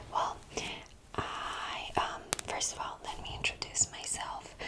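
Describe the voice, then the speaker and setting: A woman whispers very slowly as noticeable background noise goes on around her. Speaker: ASMR creator. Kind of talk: ASMR medical roleplay. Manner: whispered, soft-spoken.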